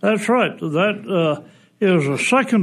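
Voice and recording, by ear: This speaker, with a Texan accent, talks at a fairly slow pace. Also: man.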